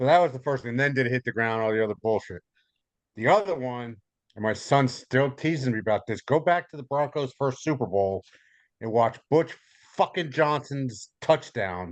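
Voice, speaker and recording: The pace is moderate and the intonation lively. A man speaks at a medium pitch against a quiet background. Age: 60s. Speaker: podcast guest. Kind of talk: casual chat. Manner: animated.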